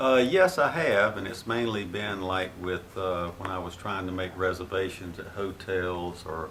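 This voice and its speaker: With audible room echo and noticeable background noise, a man speaks at a moderate pace in a very deep, low voice with fairly even intonation. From Florida. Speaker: grandfather interviewed by grandchild. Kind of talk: family history interview.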